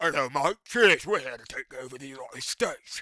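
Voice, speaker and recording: In a British accent that is part of the act, a raspy put-on character voice races along at a fairly quick pace with lively intonation and big swings in loudness. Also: man, fairly high pitch for a man. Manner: mock, jokey.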